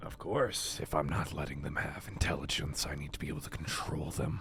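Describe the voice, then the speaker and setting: Clear music plays in the background. A man puts on a character voice and talks at a fairly quick pace. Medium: machinima. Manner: curt, self-assured.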